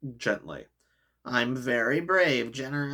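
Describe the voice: The pitch varies in an ordinary way during plain reading aloud. Nothing much sounds behind it.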